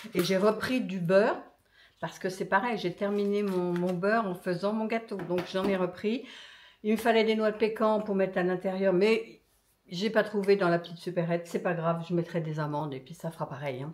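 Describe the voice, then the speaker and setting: A woman speaks at a moderate pace with ordinary pitch variation. Her pitch sits in the medium range. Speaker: lifestyle vlogger. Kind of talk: casual vlog talk. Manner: animated.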